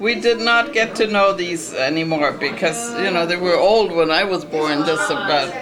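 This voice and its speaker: A woman with a fairly low pitch speaks at a moderate pace with lively intonation and hardly any pauses. Noticeable background noise and audible room echo are present. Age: 70s. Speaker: family elder. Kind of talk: family history interview. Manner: halting.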